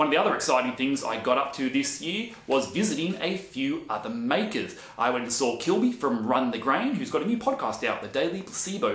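Fairly quick, lively speech in an Australian accent with hardly any pauses and audible room echo. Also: man. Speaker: woodworking YouTuber and handyman; woodworking YouTuber. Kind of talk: casual vlog monologue. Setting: home workshop on camera. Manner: chatty. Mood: friendly, upbeat recap. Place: workshop.

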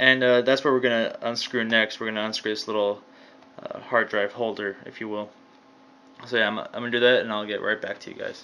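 This man talks at a fairly quick pace in a monotone, flat intonation. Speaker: hobbyist repair demonstrator. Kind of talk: tutorial. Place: home room. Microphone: phone near.

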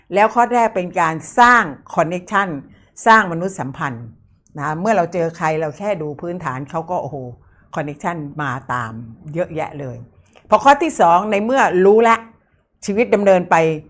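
With very wide pitch swings, a woman speaks at a fairly low pitch in a very clean recording with a silent background. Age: 70s. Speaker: palmistry teacher. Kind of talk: course promotion.

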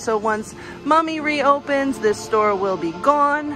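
Against clear music in the background, a woman speaks with ordinary pitch variation in a dry sound with no echo. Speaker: theme park news reporter. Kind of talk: casual talk to camera, news walkthrough. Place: shop. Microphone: phone near.

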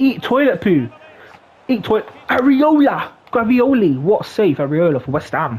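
Through noticeable background noise, a man speaks at a moderate pace in a high pitch with very wide pitch swings. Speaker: gaming YouTuber. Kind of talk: casual gaming commentary, live football commentary when a goal goes in. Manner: excitable, shouting repeated goal calls; casual, rambling, filler words.

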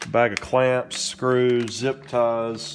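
Faint background noise sits under a man speaking at a very slow pace. His pitch is medium with little movement.

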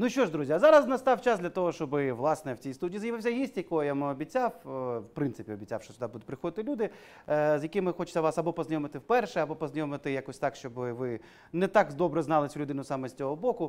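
Rushing at a very fast pace, a man speaks at a fairly high pitch with very wide pitch swings. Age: 30s. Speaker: talk show host. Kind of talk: casual chat. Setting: studio. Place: studio.

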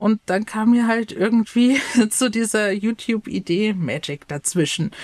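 Recorded dry and close with no echo, a woman uses a normal speaking voice of medium pitch, talking at a fairly slow pace with ordinary pitch variation. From Bavaria, Chiemgau. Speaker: youth education counsellor and YouTuber. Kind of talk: casual chat.

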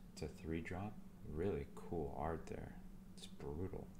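A man speaks softly and calmly in a very deep, low voice. His pitch varies in an ordinary way, at a moderate pace, with noticeable background noise. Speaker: card seller. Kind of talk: ASMR card opening talk. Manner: soft-spoken.

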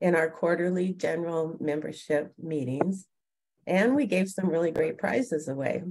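An unremarkable speaking voice talks at a fairly slow pace. There is light background noise. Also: woman. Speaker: organization leader giving a report. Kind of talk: meeting report read from notes. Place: home room. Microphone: video call.

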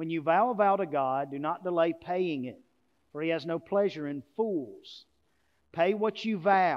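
With a quiet background, a man speaks at a fairly slow pace, his high pitch showing ordinary variation. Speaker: pastor. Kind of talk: sermon preached to a congregation. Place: church.

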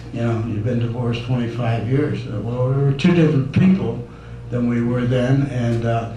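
A man's voice at a fairly slow pace, with audible room echo and noticeable background noise. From US Midwest, Detroit. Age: 70s. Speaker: resident speaking at public comment. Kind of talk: public comment at town meeting. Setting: town council meeting. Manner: halting.

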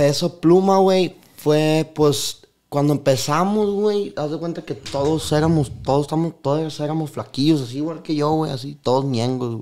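Lively intonation colors a man's dark, mellow tone as he speaks at a fairly slow pace. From Mexico. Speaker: corridos singer and songwriter. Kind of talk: casual interview chat. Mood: relaxed, casual storytelling. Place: studio. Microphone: studio mic.

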